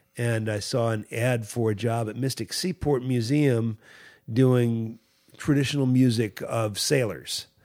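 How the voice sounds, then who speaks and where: A man with an American accent has an ordinary speaking voice, medium-pitched, with fairly even intonation at a fairly slow pace. The recording is very clean, with a silent background. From Virginia, US South. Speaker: musician and music teacher. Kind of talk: casual interview.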